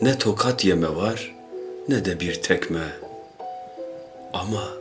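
Music plays in the background. Over it, a man speaks at a very slow pace. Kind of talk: poetry reading.

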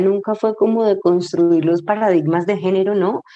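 This woman has an unremarkable speaking voice, medium in pitch. She speaks fairly slowly with fairly even intonation. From Colombia, Cali. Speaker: novelist and screenwriter. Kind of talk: interview conversation.

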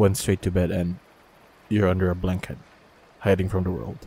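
A man speaks at a very deep, low pitch with a dark, mellow tone and a somewhat breathy quality. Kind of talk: comforting audio roleplay. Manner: soft, gentle, reassuring.

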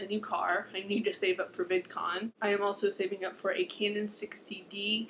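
A woman's monotone, flat intonation against light background noise. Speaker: book vlogger. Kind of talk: casual vlog chat. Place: home room. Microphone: webcam.

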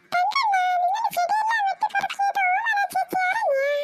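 An extremely high, cartoonish character voice speaks at a moderate pace. Music plays in the background. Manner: quick, teasing.

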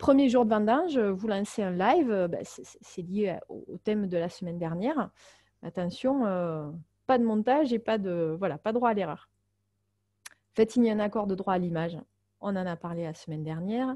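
A woman with a dark, mellow tone speaks at medium pitch and a moderate pace, with lively intonation. Long, frequent pauses mark her speech over a quiet background. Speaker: marketing consultant and webinar trainer. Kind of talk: webinar tutorial. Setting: online webinar. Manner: many filler hesitations.

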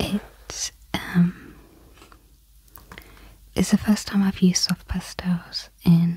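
A woman whispering in a calm tone, very slowly, with long, frequent pauses. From UK. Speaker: craft and art YouTuber. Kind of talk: soft-spoken relaxed talk to camera. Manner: soft-spoken, calm, relaxing. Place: home room.

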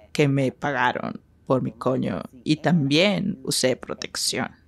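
Very deep and low, this woman's voice carries vocal fry and lively intonation. She speaks at a very slow pace. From Northern California, Sacramento; California. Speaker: sex worker; interviewee. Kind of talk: interview. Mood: bold, frank, confident. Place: studio.

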